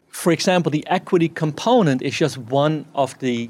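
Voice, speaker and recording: Noticeable background noise behind a man's moderate-paced speech. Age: 50s. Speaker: farmer. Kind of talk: talk.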